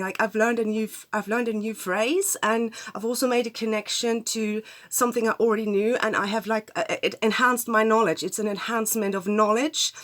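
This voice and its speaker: A woman with a German accent at a fairly high pitch and fairly quick pace, over noticeable background noise. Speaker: astrologer. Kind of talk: casual talk to camera. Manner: hesitant, many fillers.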